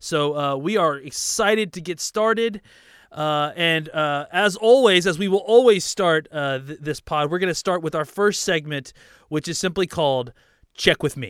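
A man with a high-pitched voice is heard in a very clean recording against a silent background. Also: ordinary pitch variation, moderate pace. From Dallas, Texas. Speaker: sports podcaster. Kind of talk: solo podcast monologue. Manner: halting, many fillers and repetitions.

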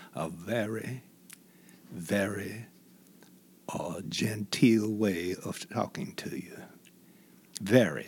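A man's fairly low-pitched speech with long, frequent pauses and big swings in loudness. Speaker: retired news anchor and investigative journalist. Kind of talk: casual interview conversation. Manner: storytelling, conversational.

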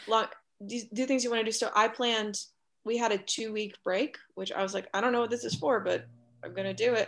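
A woman with a fairly high pitch talks at a fairly quick pace, with vocal fry and fairly even intonation. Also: quiet background. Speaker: actor. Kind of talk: casual interview chat.

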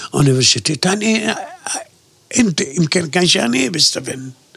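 Against noticeable background noise, a man with an Arabic accent speaks with lively intonation. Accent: Arabic-accented Swedish. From Gaza, Palestine. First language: Arabic (speaking Swedish). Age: 70s. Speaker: interviewee, Palestinian emigrant. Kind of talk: oral history interview.

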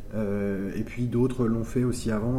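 Someone speaks at a fairly quick pace, with audible room echo and noticeable background noise. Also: man. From France, Le Mans. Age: 30s. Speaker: visual artist. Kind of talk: interview. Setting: artist's studio. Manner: halting.

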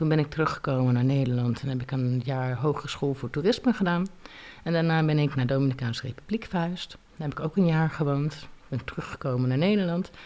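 A woman's very deep, low voice at a fairly quick pace, over noticeable background noise. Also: ordinary pitch variation. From Leiden, Netherlands. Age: 30s. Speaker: single mother on welfare. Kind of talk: interview testimony.

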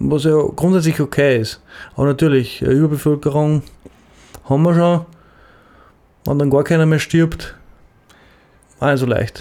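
Speaking with an Upper Austrian accent, a man with fairly high pitch and a dark, mellow tone talks at a fairly slow pace, with fairly even intonation, very even loudness, and long, frequent pauses. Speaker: podcast co-host. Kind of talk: casual chat.

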